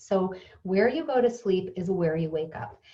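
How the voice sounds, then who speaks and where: Lively intonation from a woman, somewhat breathy in tone. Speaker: pillow company co-founder. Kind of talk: product presentation. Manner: fast; casual with fillers.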